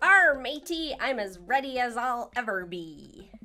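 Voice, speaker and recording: With faint music in the background, a woman puts on a high-pitched character voice and speaks at a fairly slow pace. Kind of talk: jokey, playful. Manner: growly, theatrical.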